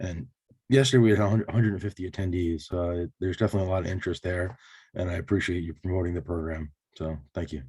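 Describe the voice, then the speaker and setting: The voice moves at a very fast pace, somewhat breathy with a dark, mellow tone and ordinary pitch variation. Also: man, very deep, low pitch for a man. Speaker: state agency invasive species staff. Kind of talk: meeting update. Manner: halting with many fillers.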